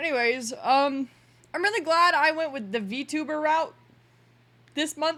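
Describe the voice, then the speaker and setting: Using a raised, projected voice with a bright, sharp tone, a woman speaks high-pitched with lively intonation and long, frequent pauses. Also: fairly slow pace. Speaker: streamer and server admin. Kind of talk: casual livestream chat. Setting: livestream at home.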